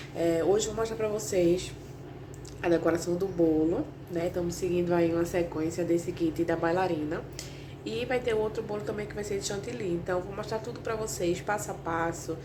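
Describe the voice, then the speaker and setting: Against noticeable background noise and audible room echo, a woman talks at a moderate pace in a fairly low pitch with ordinary pitch variation. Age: 20s. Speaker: confectioner vlogger. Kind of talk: casual vlog tutorial. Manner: soft-spoken.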